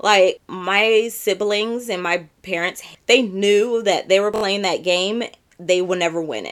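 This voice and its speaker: Animated in tone, a woman talks at a medium pitch with an American accent. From San Diego, California. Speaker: podcast host. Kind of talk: casual monologue.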